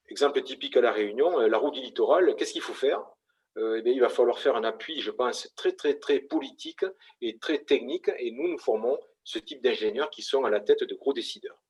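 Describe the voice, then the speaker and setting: This man speaks with a Toulouse accent. His pace is fairly quick. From southern France, Toulouse. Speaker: engineering school representative. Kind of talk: conference presentation. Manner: hesitant, many fillers.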